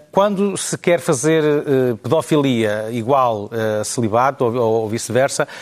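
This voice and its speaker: Music in the background behind a medium-pitched man with lively intonation at a very slow pace. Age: 40s. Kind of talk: panel debate.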